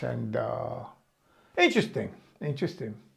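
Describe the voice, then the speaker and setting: The speaker is a man with a New York accent. He keeps a moderate pace. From Brooklyn, New York. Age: 70s. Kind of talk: personal memoir talk. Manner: casual, hesitant.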